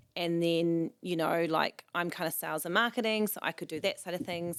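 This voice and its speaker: A woman with a New Zealand accent speaks in a fairly low pitch. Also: very clean recording, silent background. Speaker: events organiser and magazine founder. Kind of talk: casual chat. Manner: loud, talkative.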